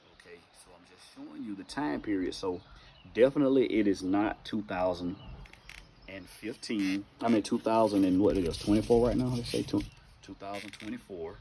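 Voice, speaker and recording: At a moderate pace, a man with a Southern US accent talks in a fairly low voice with ordinary pitch variation. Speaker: bible teacher. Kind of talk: informal bible teaching monologue.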